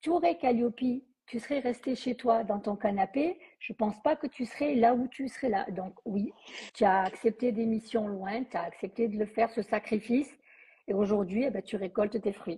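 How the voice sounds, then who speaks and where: A somewhat breathy, dark, mellow voice in a southern French accent, at a moderate pace with ordinary pitch variation. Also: woman, fairly high pitch for a woman. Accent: southern French, sing-song. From southern France. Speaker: training company host. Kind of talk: live interview.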